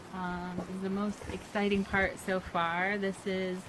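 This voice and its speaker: A woman's voice with noticeable background noise. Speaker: vlogger building a tiny house. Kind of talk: casual video update. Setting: outdoors on a porch. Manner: slow, hesitant with many fillers.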